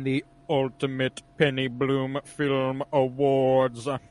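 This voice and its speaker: Putting on a character voice, a man speaks at a very slow pace and medium pitch with monotone, flat intonation. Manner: grandiose, dramatic.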